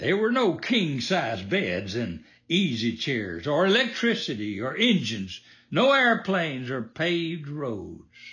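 A man's fairly high, bright and sharp voice with vocal fry, very wide pitch swings and a fairly slow pace. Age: 80s. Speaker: podcast host. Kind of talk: scripted patriotic commentary podcast.

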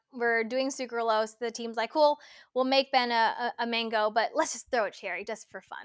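A woman's fairly high voice with a Californian accent, moderate pace and fairly even intonation, dry and close with no echo on a very clean recording with a silent background. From Los Angeles, California. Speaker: supplement product developer. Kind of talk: interview.

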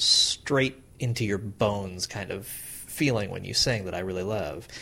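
At a moderate pace, a man talks with ordinary pitch variation while noticeable background noise plays behind him. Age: 30s. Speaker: podcast host. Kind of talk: interview.

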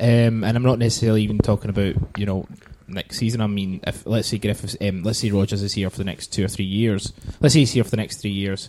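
A man with a Glaswegian accent, fairly low in pitch, talking at a fairly quick pace with fairly even intonation. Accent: Glaswegian Scottish. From Scotland, Glasgow. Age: 30s. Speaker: podcast host. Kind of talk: casual chat.

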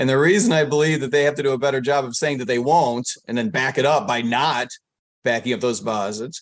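Fairly quick male speech, fairly high in pitch with ordinary pitch variation. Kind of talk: casual interview. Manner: calm.

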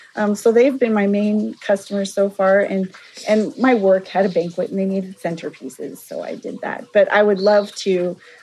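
With an American accent, a woman talks in a normal speaking voice at a moderate pace. Her pitch is medium, with ordinary variation. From Walla Walla Valley, eastern Washington/Oregon, US. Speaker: flower farmer. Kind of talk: casual interview. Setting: outdoors on a flower farm.

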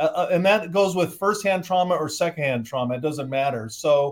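A man with a General American accent, an unremarkable speaking voice and a fairly high pitch with ordinary pitch variation. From Southern California. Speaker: sociologist and author. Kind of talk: interview. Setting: video call.

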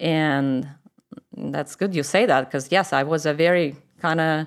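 In a Russian accent, a woman speaks at a fairly slow pace. Her voice sits fairly low, with ordinary pitch variation. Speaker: church member. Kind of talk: personal testimony interview.

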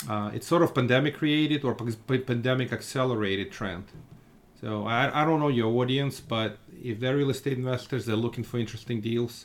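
A man with a Russian accent speaks at a fairly quick pace. His pitch is medium, with ordinary pitch variation. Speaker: real estate fund manager. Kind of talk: podcast interview.

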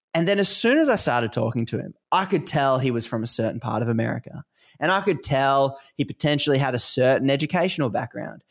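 Talking at a very fast pace, a man with an Australian accent uses a fairly high pitch and lively intonation on a very clean recording with a silent background. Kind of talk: casual interview conversation.

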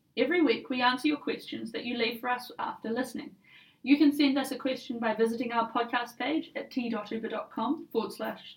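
A high-pitched woman's voice with a New Zealand accent and fairly even intonation. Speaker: podcast host. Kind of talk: scripted corporate podcast.

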